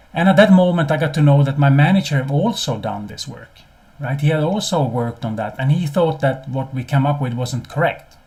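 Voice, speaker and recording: Somewhat breathy and medium in pitch, a man talks at a fairly quick pace with a non-native accent. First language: not English. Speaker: business consultant and CEO. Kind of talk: webinar presentation. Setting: live webinar. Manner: hesitant, many repeated words.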